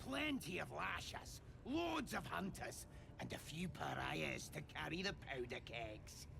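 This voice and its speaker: A man speaks in a put-on character voice at a fairly slow pace. Loud background noise runs behind him. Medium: video game. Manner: coarse, ungrammatical.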